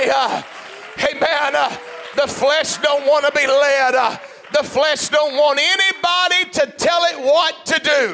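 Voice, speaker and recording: A man's raised, projected voice at an extremely high pitch, with very even loudness and fairly even intonation, amid noticeable background noise. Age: 50s. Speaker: pastor. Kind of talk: sermon.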